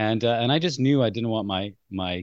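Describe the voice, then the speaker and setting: A man speaks at a fairly quick pace, fairly low in pitch, with lively intonation. The recording is dry and close, with no echo and a quiet background. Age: 50s. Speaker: parenting coach. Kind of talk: casual chat. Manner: halting.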